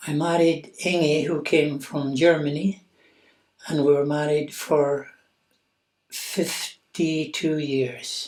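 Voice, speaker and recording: With a Scottish Highland accent, a man speaks very slowly in a fairly high, monotone, flat voice, leaving long, frequent pauses. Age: 80s+. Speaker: patient's widower sharing experience. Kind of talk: personal testimony.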